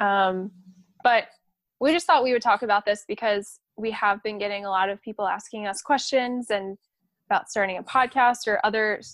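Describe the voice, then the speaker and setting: A woman with an ordinary speaking voice, fairly high in pitch, speaks at a moderate pace with ordinary pitch variation in a very clean recording with a silent background and a dry, close sound with no echo. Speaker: physical therapy student podcast co-host. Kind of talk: casual chat.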